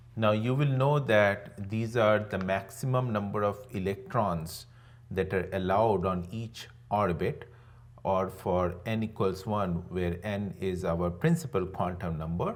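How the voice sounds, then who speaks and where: The speech comes at a fairly slow pace. Audible room echo surrounds it. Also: man, fairly low pitch for a man, ordinary pitch variation. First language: not English. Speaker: online teacher. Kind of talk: lecture. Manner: conversational, with frequent fillers.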